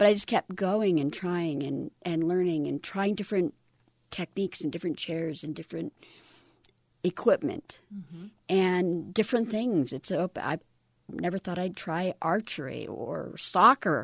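Against a quiet background, in a dry, close sound with no echo, a woman with a plain, everyday voice speaks at a moderate pace with a fairly low pitch and ordinary pitch variation. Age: 50s. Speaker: Air Force veteran, wheelchair athlete. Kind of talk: casual interview.

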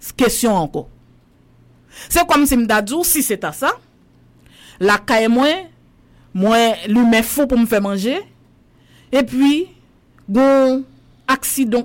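Speaking at a very slow pace, a woman uses lively intonation in a fairly high voice. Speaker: journalist. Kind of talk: casual chat.

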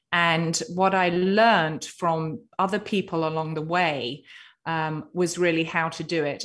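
Speaking with an English accent, a woman keeps a fairly slow pace. Her pitch is fairly low, and the background is quiet. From Britain. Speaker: author and cancer survivor. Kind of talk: interview.

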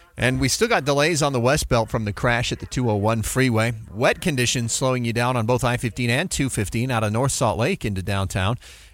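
On a very clean recording with a silent background, a man speaks in a plain, everyday voice at a medium pitch, with ordinary pitch variation and hardly any pauses. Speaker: radio traffic reporter. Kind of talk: live radio traffic report, rapid roundup of delays and crashes. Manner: brisk, clipped rundown of highways and interchanges; casual, conversational asides between road updates.

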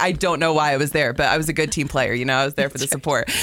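With an American accent, a woman rattles along at a very fast pace amid noticeable background noise. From US South, South Florida. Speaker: sports broadcaster. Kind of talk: casual chat.

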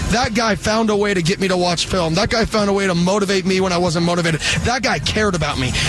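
Talking at a very fast pace with hardly any pauses, a man with an American accent has a high voice, an animated tone and ordinary pitch variation. His loudness is very even, and noticeable background noise is present. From Arizona, US. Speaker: college football head coach. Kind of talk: interview. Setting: outdoor event broadcast with headset.

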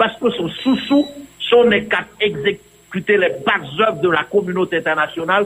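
Very slow speech over noticeable background noise. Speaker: political commentator. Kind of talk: radio political commentary.

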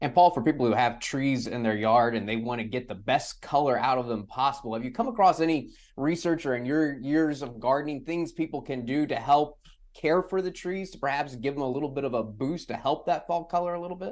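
A man's normal speaking voice with an American accent, fairly high-pitched, fairly quick and with hardly any pauses, ordinary pitch variation, on a very clean recording with a silent background. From San Antonio, Texas. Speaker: meteorologist, podcast co-host. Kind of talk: interview.

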